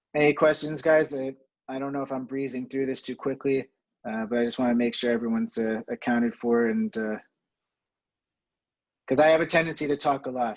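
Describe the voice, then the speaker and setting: The speech moves at a fairly quick pace. Long, frequent pauses break it up. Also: man, medium pitch for a man. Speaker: fitness instructor. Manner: monotone.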